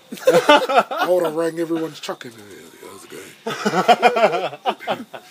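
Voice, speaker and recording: Amid noticeable background noise, a high-pitched man speaks with lively intonation. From New Zealand. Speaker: podcast host. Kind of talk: casual chat.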